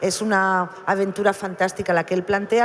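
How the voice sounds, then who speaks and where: A woman's ordinary speaking voice at a medium pitch and fairly quick pace. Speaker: novelist. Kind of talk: panel discussion.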